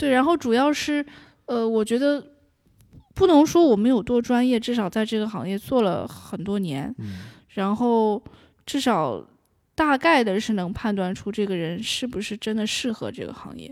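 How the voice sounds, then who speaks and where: A woman's ordinary speaking voice, fairly high in pitch, at a moderate pace, with lively intonation and big swings in loudness, in a very clean recording with a silent background. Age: 20s. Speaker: audiobook narrator. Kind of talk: interview.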